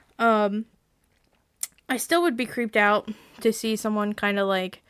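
In a very clean recording with a silent background, a woman speaks at a moderate pace in a medium pitch with ordinary pitch variation. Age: 20s. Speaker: podcast host. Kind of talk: casual chat mixed with reading stories aloud.

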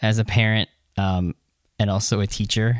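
In a dry, close recording with no echo and a silent background, a man talks at a moderate pace with a fairly low pitch, fairly even intonation and an ordinary speaking voice. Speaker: podcast host. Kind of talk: casual chat.

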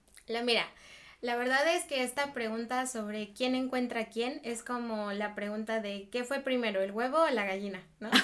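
With ordinary pitch variation, the woman's fairly high voice moves along at a moderate pace. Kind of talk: casual chat.

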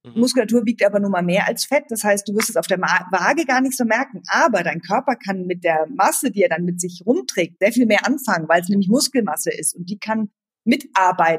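Her ordinary speaking voice, medium in pitch for a woman, carries lively intonation at a fairly quick pace, with a dry, close sound and no echo. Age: 40s. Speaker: running coach. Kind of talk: casual chat.

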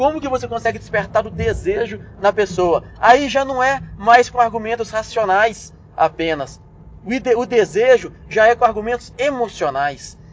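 The man's voice sits high in pitch with lively intonation. He keeps a moderate pace. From Brazil, Belo Horizonte. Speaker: business management podcaster. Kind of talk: solo instructional podcast. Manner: casual, conversational with frequent fillers and repetitions.

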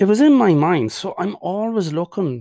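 A man's dark, mellow tone in an Irish accent, very clean recording, silent background. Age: 40s. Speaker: mental health podcaster. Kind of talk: personal monologue. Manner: halting.

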